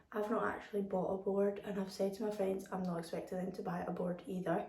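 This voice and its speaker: A woman talks over noticeable background noise. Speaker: lifestyle vlogger. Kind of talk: vlog. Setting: at home in kitchen.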